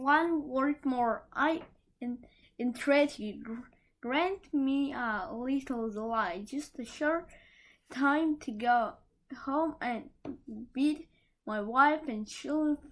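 In a put-on character voice, a woman speaks shakily at a high pitch and very slow pace, with ordinary pitch variation and long, frequent pauses, in a very clean recording over a silent background. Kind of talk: fairy tale read aloud. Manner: pleading, trembling.

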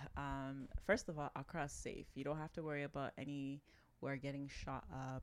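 The speaker is a woman with a Toronto accent. Her pitch is very deep and low. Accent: Toronto Canadian English. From Toronto, Canada, of Ghanaian family. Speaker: business owner. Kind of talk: casual chat.

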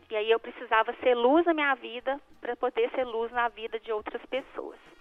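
Spoken at a moderate pace with ordinary pitch variation, the clip carries noticeable background noise. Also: woman. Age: 40s. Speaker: life coach. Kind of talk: radio interview.

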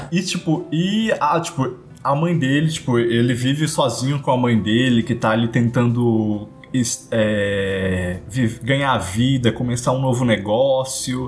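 Over background music, a man speaks at a medium pitch with ordinary pitch variation and very even loudness. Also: fairly slow pace. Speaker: podcast co-host. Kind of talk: casual chat.

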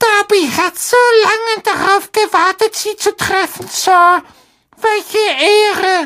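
Delivered at a fairly slow pace, this put-on character voice sounds shrill and squeaky. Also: woman, extremely high pitch for a woman. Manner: eager, reverent.

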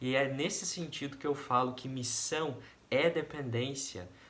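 The voice has ordinary pitch variation, with audible room echo around it. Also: man. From Brazil, interior of Paraná. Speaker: volunteer missionary. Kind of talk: personal testimony.

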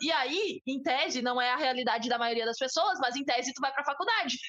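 In a southern Brazilian accent, a raised, projected voice moves at a fairly quick pace with lively intonation over noticeable background noise. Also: woman. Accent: gaúcho Brazilian Portuguese. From southern Brazil, Bagé (Rio Grande do Sul). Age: 20s. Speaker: podcast co-host. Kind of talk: casual chat.

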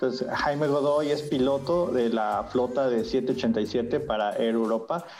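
A man's medium-pitched voice with a Mexican accent, very slow pace, hardly any pauses, ordinary pitch variation and very even loudness, plus audible room echo and music in the background. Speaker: podcast host. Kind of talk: interview. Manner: halting, many fillers.

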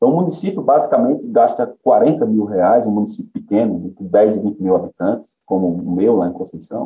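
Here a man speaks with a dark, mellow tone at a moderate pace. His pitch swings very widely. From Paraíba sertão, Brazil. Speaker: economist, head of a research institute. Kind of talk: interview. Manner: hesitant, repeats words.

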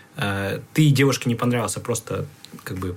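Medium-pitched male voice with ordinary pitch variation, over noticeable background noise. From Kyrgyzstan, Bishkek. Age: 20s. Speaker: digital product developer. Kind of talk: casual chat. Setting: studio.

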